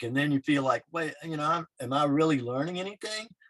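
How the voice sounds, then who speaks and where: A man with a fairly high pitch uses a normal speaking voice with fairly even intonation, recorded dry and close with no echo. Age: 60s. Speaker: wrestler and artist. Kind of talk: casual chat.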